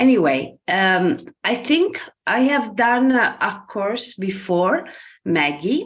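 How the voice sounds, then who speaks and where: A woman with an Italian accent speaks at a very slow pace and a fairly high pitch. Her voice has vocal fry and very wide pitch swings. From Italy. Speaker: program assistant and practitioner. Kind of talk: testimony.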